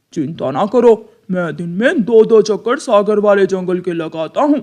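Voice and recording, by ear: A cartoonish character voice comes at a fairly high pitch. The pace is moderate.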